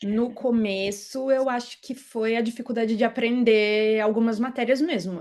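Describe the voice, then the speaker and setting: Here is a woman with a plain, everyday voice. Her pitch is fairly high. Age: 30s. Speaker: tax auditor, exam-pass interviewee. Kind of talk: interview.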